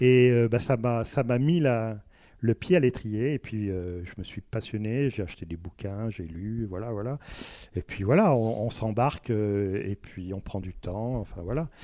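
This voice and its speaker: A man's voice at medium pitch, with ordinary pitch variation and a fairly slow pace. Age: 60s. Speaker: self-taught botanist and local association member. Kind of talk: radio interview. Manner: hesitant, many filler words.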